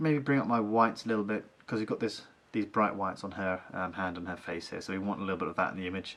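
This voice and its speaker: A man with a fairly low voice talks very fast, his pitch varying in an ordinary way. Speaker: photo editing YouTuber. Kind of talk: tutorial. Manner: casual, many fillers.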